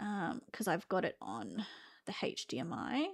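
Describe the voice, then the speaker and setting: A woman with an Australian accent swings very widely in pitch, recorded very cleanly against a silent background. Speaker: vtuber streamer. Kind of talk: casual live stream chat. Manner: casual, halting with fillers.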